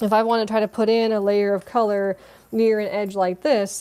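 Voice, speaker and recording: This woman's voice sits fairly high in pitch and has a dark, mellow tone. She talks at a fairly quick pace. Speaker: watercolor art teacher. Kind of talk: live online painting class. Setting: livestream on mobile device. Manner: fast; animated.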